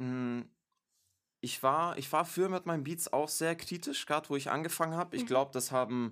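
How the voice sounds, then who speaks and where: Recorded very cleanly against a silent background, the speech moves at a moderate pace with ordinary pitch variation. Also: man, fairly high pitch for a man. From Stuttgart, Germany. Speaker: music producer and rapper. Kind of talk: casual interview. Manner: halting, many fillers.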